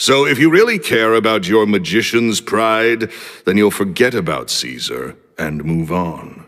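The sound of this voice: A booming male voice with lively intonation at a fairly slow pace.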